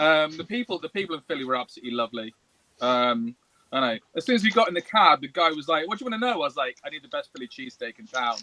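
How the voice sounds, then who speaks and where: Very fast and fairly high-pitched, a man with an English accent swings widely in both pitch and loudness, recorded dry and close with no echo. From England. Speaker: toy maker. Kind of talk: casual chat. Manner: animated.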